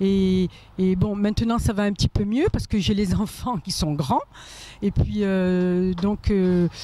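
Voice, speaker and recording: Over noticeable background noise, a woman talks at a very slow pace, her intonation fairly even and her loudness very even. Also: medium pitch for a woman. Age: 60s. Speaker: pizza seller. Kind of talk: street interview. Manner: halting.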